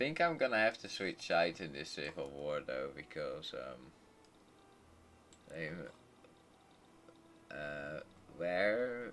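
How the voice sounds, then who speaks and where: Against noticeable background noise, a man with a Dutch accent and a very deep, low pitch speaks at a fairly slow pace. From southern Netherlands. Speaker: gaming streamer. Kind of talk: live gameplay commentary. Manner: halting.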